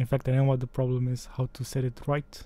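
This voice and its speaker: A man's somewhat breathy voice at medium pitch, dark and mellow in tone, with a Romanian accent and a moderate pace. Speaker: tech tutorial creator. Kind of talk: tutorial. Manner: casual.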